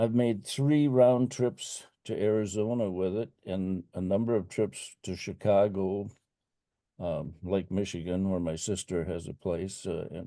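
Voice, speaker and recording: Against a quiet background, a man with a very deep, low pitch and a dark, mellow tone talks at a fairly slow pace with ordinary pitch variation. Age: 80s+. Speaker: electric car owner. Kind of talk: Q&A discussion. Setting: video call.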